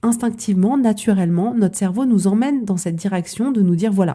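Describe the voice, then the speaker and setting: Somewhat breathy and dark, mellow in tone, a woman of medium pitch talks at a fairly quick pace with ordinary pitch variation. The recording is very clean, the background silent. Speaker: coach. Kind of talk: podcast monologue. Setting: podcast.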